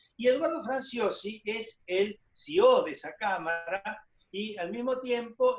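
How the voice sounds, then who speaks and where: A man talks with an extremely high pitch and ordinary pitch variation. Music plays in the background. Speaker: TV talk show host. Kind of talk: TV interview.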